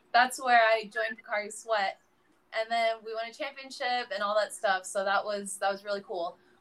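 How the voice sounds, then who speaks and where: A woman with a plain, everyday voice talks at a moderate pace, fairly high in pitch, with ordinary pitch variation. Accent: American. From US, San Francisco area. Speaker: professional volleyball player. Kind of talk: casual interview.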